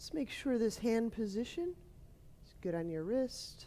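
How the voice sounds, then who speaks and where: Soft-spoken and dark, mellow in tone, a woman talks with lively intonation. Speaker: yoga teacher. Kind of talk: guided yoga class.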